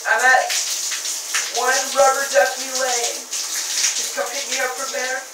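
A man speaks at a very slow pace, with loud background noise and audible echo in the room. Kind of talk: improvised comedic fake phone call. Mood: playful deadpan. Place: bathroom. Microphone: camera far.

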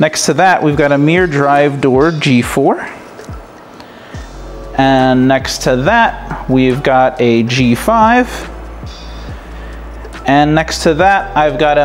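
A man speaks at a very slow pace with ordinary pitch variation and long, frequent pauses, while faint music plays in the background. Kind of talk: casual tour narration. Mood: enthusiastic. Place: home room. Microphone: phone near.

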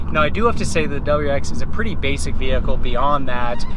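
Loud background noise surrounds a man talking at a fairly quick pace. The sound itself is dry, with no echo. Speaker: car reviewer. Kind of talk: car review commentary. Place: car. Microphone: camera far.

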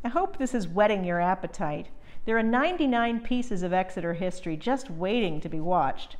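Lively intonation from a woman at a moderate pace. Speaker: historical society host. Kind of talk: scripted presentation.

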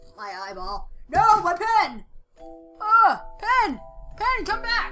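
A bright, sharp tone with big pitch swings at a slow pace, faint music in the background. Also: woman, extremely high pitch for a woman.

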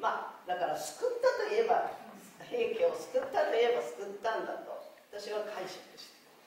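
A woman speaks at a moderate pace with strong room echo and light background noise. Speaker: dramatic reciter of classical literature. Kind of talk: interview answer. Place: hall.

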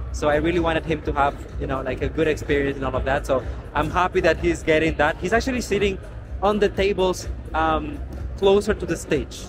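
Speech moves at a fairly quick pace with music in the background. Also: man. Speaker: pageant vlogger. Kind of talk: casual vlog chat. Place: hall. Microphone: phone near.

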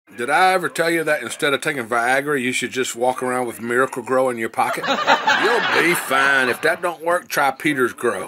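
With hardly any pauses, a man talks at a moderate pace and ordinary pitch variation. Noticeable background noise runs underneath. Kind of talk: casual vlog chat.

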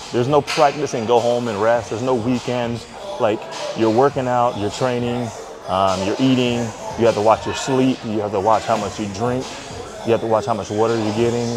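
Clear music plays behind the voice. A man speaks at a fairly quick pace. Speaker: fitness vlogger. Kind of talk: casual vlog chat.

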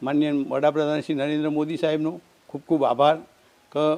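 The man speaks with a fairly high pitch. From Gujarat, India (Patan district). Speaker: parent of scholarship recipient. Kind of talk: testimony. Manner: halting.

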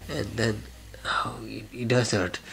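The background carries clear music. Over it, a man talks at a fairly slow pace. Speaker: vlogger. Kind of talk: casual vlog chat. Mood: playful, slightly complaining. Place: home room. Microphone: phone near.

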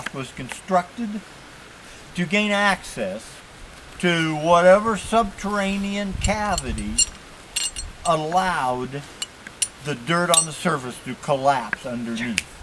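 The pace is very slow, with long, frequent pauses. Noticeable background noise runs underneath. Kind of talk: explanatory tour commentary. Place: forest.

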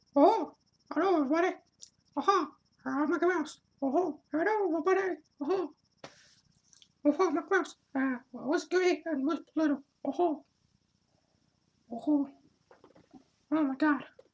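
Doing a cartoonish character voice, a man speaks at an extremely high pitch and moderate pace with long, frequent pauses. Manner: upbeat.

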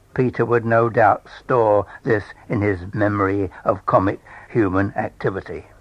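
Speaking in a southern English accent, a man talks at a fairly slow pace with a fairly low pitch and fairly even intonation over a quiet background. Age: 80s+. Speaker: storyteller. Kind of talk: reading aloud.

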